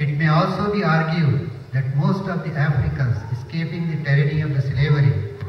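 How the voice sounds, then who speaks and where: Over light background noise and audible room echo, a man speaks at a moderate pace in a fairly high voice with ordinary pitch variation. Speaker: mosque administrator. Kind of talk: prepared speech. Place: hall.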